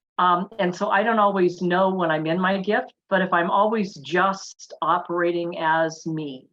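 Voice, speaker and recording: In a plain, everyday voice, a woman talks at a fairly slow pace with hardly any pauses, using a medium pitch and fairly even intonation. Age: 60s. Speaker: wellness summit panelist. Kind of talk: panel discussion.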